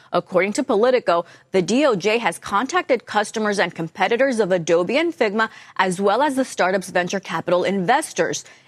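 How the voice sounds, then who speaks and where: A woman with an unremarkable speaking voice talks at a fairly quick pace and medium pitch, with lively intonation. Her loudness stays very even, and the sound is dry and close with no echo. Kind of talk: newsreading.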